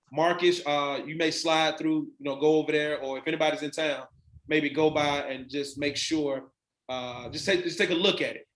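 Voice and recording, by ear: A man's fairly high, fairly bright voice at a moderate pace, with fairly even intonation and audible room echo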